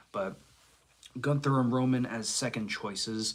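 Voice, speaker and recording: A man's voice with ordinary pitch variation. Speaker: live streamer. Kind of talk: casual chat. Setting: livestream.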